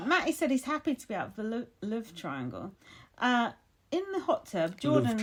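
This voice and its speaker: Fairly high female speech in a northern English accent, with vocal fry, very wide pitch swings, big swings in loudness and a moderate pace. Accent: broad northern English. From northern England.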